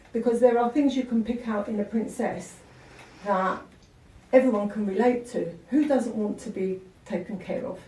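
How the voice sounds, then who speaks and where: Amid noticeable background noise and audible room echo, a woman with a fairly high pitch and ordinary pitch variation speaks at a moderate pace with long, frequent pauses. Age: 60s. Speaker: beauty industry panelist. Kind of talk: panel discussion. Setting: stage with audience.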